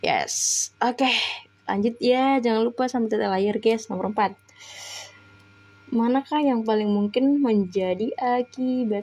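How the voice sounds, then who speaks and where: A woman's fairly high voice moves at a fairly slow pace, its pitch varying in an ordinary way. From Medan, North Sumatra (Batak). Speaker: online test-prep tutor. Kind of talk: live-stream tutorial. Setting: live stream. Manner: casual, chatty.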